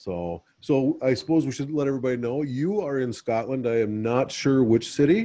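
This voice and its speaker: A man with an American accent and a medium pitch speaks with a dark, mellow tone and lively intonation. His moderate pace has hardly any pauses. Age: old. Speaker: podcast host. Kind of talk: casual chat.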